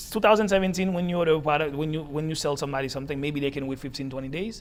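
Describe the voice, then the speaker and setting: A man with a Haitian accent, fairly high in pitch, at a very fast pace, with audible room echo. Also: ordinary pitch variation. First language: Haitian Creole. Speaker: entrepreneur. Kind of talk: interview. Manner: halting, repeats words.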